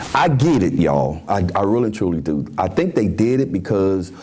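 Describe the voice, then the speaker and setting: Against audible room echo and noticeable background noise, a man with a Memphis accent speaks at fairly low pitch. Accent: Southern US (Memphis) English. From US South. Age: 60s. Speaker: talk show host. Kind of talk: opinion commentary. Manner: animated.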